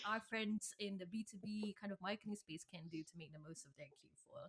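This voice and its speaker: An animated, somewhat breathy woman's voice at a fairly quick pace. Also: dry, close sound with no echo. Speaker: podcast host. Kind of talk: interview. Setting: studio.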